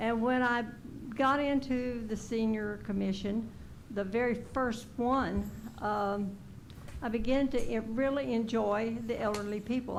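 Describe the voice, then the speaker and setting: Someone with a Texan accent speaks at a fairly slow pace with very even loudness and ordinary pitch variation, with audible room echo. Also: woman. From Texas Gulf Coast. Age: 80s+. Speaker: senior commission applicant. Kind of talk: public comment at council meeting. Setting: city council meeting. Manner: halting.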